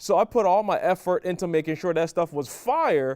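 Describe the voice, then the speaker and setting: A man with a Caribbean accent speaks at a high pitch in an animated tone, with ordinary pitch variation. The sound is dry and close, with no echo. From Barbados. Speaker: podcast co-host. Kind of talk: casual chat.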